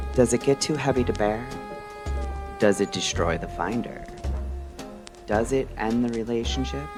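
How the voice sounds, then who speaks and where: Against music in the background, a man speaks at a moderate pace and medium pitch, his pitch swinging very widely between long, frequent pauses. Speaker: radio-style podcast host. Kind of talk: late-night mystery radio show narration.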